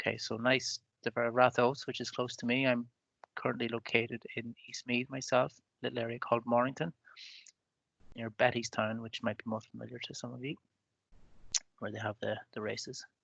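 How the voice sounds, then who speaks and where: In a Donegal accent, a man speaks fairly quickly at a medium pitch with monotone, flat intonation and long, frequent pauses. The sound is dry and close with no echo. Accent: Donegal Irish. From Ireland, Donegal. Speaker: webinar moderator. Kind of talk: webinar introduction. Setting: video call.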